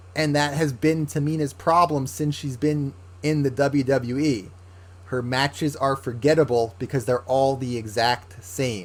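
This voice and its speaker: Here a man speaks at medium pitch, fairly slowly. His voice is somewhat breathy, with ordinary pitch variation. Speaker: wrestling podcast host. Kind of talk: casual commentary monologue.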